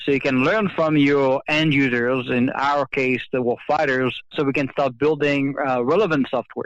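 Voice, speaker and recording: A man with a French accent speaks at a moderate pace in a fairly high pitch, with hardly any pauses. His intonation stays fairly even and his loudness very even. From France. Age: 30s. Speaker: government software executive. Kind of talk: interview. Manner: halting, many fillers.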